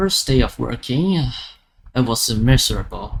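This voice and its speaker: This man keeps a moderate pace. He has a non-native accent. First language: not English. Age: 20s. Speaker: gaming YouTuber, college student. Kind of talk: casual vlog monologue. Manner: halting, many fillers and restarts.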